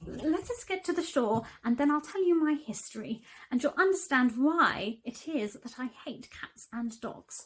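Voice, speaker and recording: A woman's put-on character voice, shaky and high-pitched, at a moderate pace. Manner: offended, trembling with emotion.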